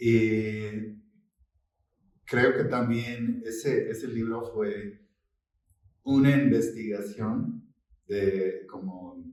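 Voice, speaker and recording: Speaking very slowly with long, frequent pauses, a man with an English accent keeps a medium pitch and fairly even intonation. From United States. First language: English (speaking Spanish). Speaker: novelist. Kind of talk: book presentation interview. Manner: halting.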